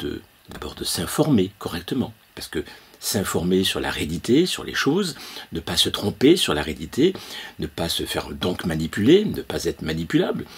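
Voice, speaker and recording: Noticeable background noise behind a man's moderate pace and big swings in loudness. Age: 70s. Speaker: consciousness-awakening trainer. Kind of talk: opinion monologue. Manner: halting, many hesitations.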